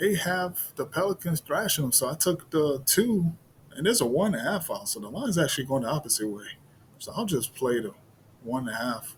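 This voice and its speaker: A somewhat breathy, fairly high-pitched man at a fairly quick pace, with very wide pitch swings. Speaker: sports betting video creator. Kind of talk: casual solo commentary on betting picks.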